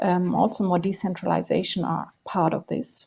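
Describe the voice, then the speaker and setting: A woman with a non-native accent, somewhat breathy, at a medium pitch and with fairly even intonation. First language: not English. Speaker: energy policy expert. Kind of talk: panel discussion.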